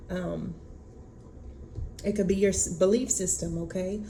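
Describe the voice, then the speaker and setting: Audible room echo surrounds a woman who speaks at a moderate pace. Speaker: tarot reader. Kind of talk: oracle card reading. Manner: halting, many fillers.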